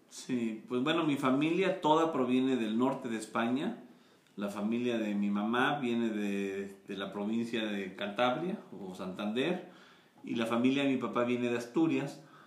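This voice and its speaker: Lively intonation and a fairly slow pace come through with audible room echo. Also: man, medium pitch for a man. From Mexico. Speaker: maize and tortilla advocate. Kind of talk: interview.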